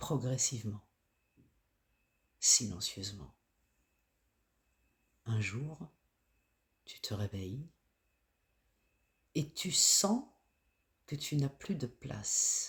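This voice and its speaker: With long, frequent pauses, the man delivers his words at a very slow pace, his medium-pitched voice showing lively intonation. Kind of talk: guided self-care reflection voice-over. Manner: slow, soft-spoken.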